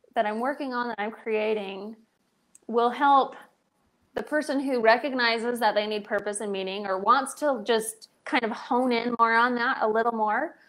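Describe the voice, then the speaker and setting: Fairly high in pitch, a woman with an American accent speaks at a fairly slow pace with fairly even intonation. The background is quiet. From Pittsburgh, Pennsylvania. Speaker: purpose coach. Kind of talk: casual chat. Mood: thoughtful, earnest. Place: home room. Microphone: earbuds.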